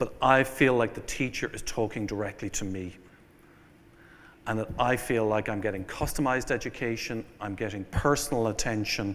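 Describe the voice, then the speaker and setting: A man with an Irish accent talks at a moderate pace, his medium-pitched voice keeping fairly even intonation. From Ireland. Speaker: venture capital investor. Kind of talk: keynote speech. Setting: conference stage with audience.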